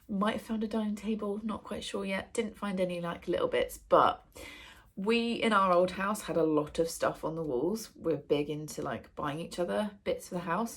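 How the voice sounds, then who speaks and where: This woman speaks with an English accent and a somewhat breathy voice. Her pitch varies in an ordinary way. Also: medium pitch for a woman, moderate pace, very clean recording, silent background. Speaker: book vlogger. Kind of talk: casual vlog chat. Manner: casual, with many fillers.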